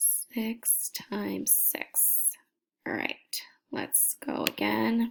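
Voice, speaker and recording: Whispering, a woman speaks at a very slow pace. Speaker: teacher. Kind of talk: tutorial. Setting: at home at night. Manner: soft-spoken.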